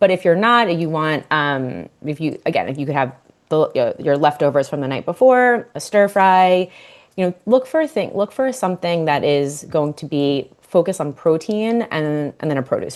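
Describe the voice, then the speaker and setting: Against a quiet background, a woman with a Long Island accent speaks at a fairly low pitch. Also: lively intonation, moderate pace. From Long Island, New York. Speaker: dietitian and nutrition coach. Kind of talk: podcast interview. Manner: casual, filler-heavy.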